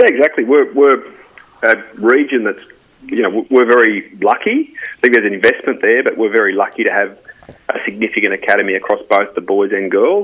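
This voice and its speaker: Speaking at a fairly quick pace, a man has an Australian accent. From rural Australia. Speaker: football club CEO. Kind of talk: radio interview. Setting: phone call.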